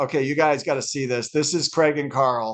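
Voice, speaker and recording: Here a man talks at a fairly quick pace and a fairly high pitch, with fairly even intonation. The background stays quiet. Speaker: speaker and author. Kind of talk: casual chat. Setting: video call. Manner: loud.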